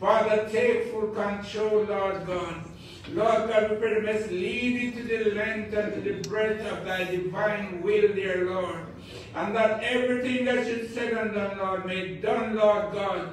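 A man speaks fairly slowly in a monotone, flat intonation. Strong room echo surrounds him, with light background noise. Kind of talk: public prayer. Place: church.

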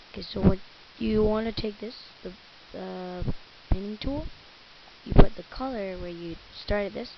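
Speaking at a moderate pace, a woman makes long, frequent pauses while her loudness swings widely. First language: Spanish. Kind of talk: software tutorial narration. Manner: casual, hesitant.

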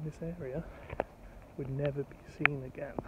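A man's voice with fairly even intonation, dry with no echo, over noticeable background noise. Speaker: true crime vlogger. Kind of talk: walking vlog commentary. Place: street. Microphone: phone near.

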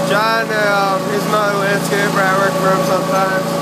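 Speech moves at a fairly slow pace through loud background noise. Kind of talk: casual vlog chat. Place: farm machine. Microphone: phone near.

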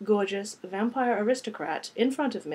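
A passage of plain reading aloud

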